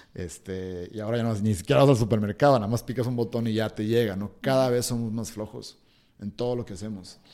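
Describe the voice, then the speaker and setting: Talking at a very fast pace, the man has a dark, mellow tone and ordinary pitch variation on a very clean recording with a silent background. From Hermosillo, Sonora, northern Mexico. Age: 30s. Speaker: breathing and cold exposure workshop instructor. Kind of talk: interview conversation. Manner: hesitant, many fillers.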